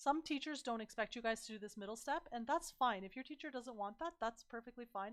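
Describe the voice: Lively intonation, a fairly bright tone and a fairly quick pace. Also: woman.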